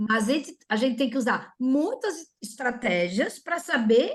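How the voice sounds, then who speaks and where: A woman's somewhat breathy, animated voice with lively intonation at a fairly slow pace. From Florianópolis, southern Brazil. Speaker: orthodontist. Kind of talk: webinar presentation.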